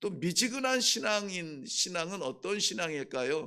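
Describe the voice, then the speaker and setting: At a very slow pace, a man speaks at a high pitch with very wide pitch swings, in a very clean recording with a silent background. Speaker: pastor. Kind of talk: sermon. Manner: halting, with frequent filler sounds.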